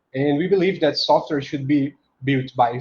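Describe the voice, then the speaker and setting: A man speaks with a Portuguese accent. His voice is somewhat breathy and fairly high in pitch. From Brazil, Recife. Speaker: software engineer. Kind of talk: conference talk. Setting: conference talk.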